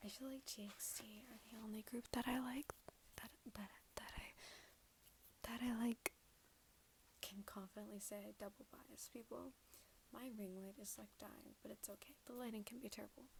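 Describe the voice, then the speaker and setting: Soft-spoken and whispering, the speaker keeps a moderate pace broken by long, frequent pauses. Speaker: ASMR creator. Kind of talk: ASMR soft-spoken talk to camera. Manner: soft-spoken to whispered.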